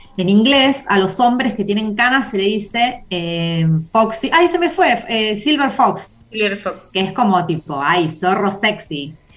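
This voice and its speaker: Speaking at a fairly slow pace, a woman uses a medium pitch and lively intonation with hardly any pauses. Noticeable background noise runs underneath. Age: 40s. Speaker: community organizer. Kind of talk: casual chat.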